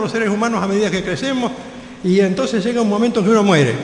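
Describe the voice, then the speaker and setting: Noticeable background noise and audible room echo surround a man with a Rioplatense accent who speaks at a high pitch. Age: 70s. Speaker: pastor. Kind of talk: sermon.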